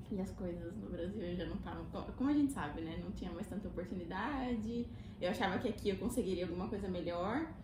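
The speech races along at a very fast pace, with audible room echo and noticeable background noise. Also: woman. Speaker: Brazilian immigrant, physiotherapy graduate. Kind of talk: casual chat.

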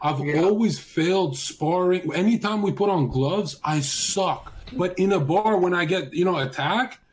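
A high-pitched man at a moderate pace, ordinary pitch variation, noticeable background noise behind him. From Canada, Vancouver. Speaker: streamer. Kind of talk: casual chat.

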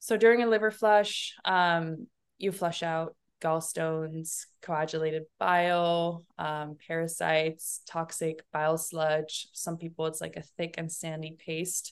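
An unremarkable speaking voice, a woman's at a fairly low pitch, moves at a fairly slow pace with fairly even intonation against a quiet background. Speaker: holistic detox coach. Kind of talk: casual interview chat.

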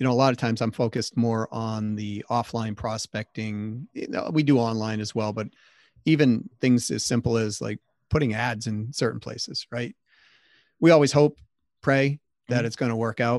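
In a quiet background with dry, close sound and no echo, a man with an American accent has an unremarkable speaking voice, medium pitch, fairly even intonation and a moderate pace. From Massachusetts, US. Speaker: sales consultant, company CEO. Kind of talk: interview.

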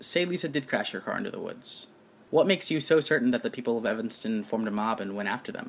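Speaking at a very fast pace, a man moves through very wide pitch swings. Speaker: podcast narrator and investigator. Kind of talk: scripted dramatic narration of a true-crime style story.

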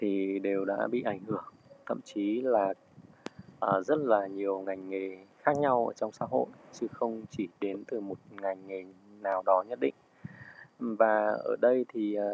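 A man's fairly low voice at a fairly slow pace, with ordinary pitch variation and long, frequent pauses. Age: 30s. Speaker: restaurant owner. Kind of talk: personal reflection and book reading. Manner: halting.

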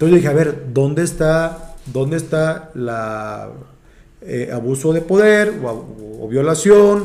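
Noticeable background noise and audible room echo surround a man speaking very slowly at a fairly high pitch. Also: lively intonation. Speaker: stand-up comedian. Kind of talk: casual chat. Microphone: far from the mic.

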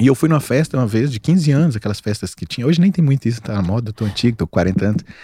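This man's voice has a medium pitch and a dark, mellow tone that is somewhat breathy. The sound is dry and close, with no echo. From Minas Gerais, Brazil (Montes Claros). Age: 40s. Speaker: physician specializing in weight loss. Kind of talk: casual chat.

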